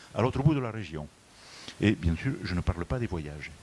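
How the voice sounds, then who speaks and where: A man speaks with a southwestern French accent. His pitch is fairly low. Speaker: motorway company executive. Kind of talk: conference presentation. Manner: hesitant, many fillers.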